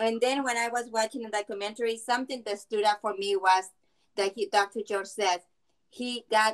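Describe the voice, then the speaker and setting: With a Spanish accent, a woman speaks at medium pitch and a moderate pace, the sound dry and close with no echo. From Mexico. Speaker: film viewer giving comments. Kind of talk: panel discussion comments. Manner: halting.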